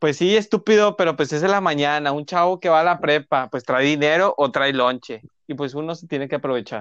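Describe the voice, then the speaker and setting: In an unremarkable speaking voice, the speaker goes at a fairly quick pace with hardly any pauses and ordinary pitch variation against a quiet background. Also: man, fairly high pitch for a man, dry, close sound with no echo. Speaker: podcast co-host. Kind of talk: casual chat. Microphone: sounds distorted, muffled.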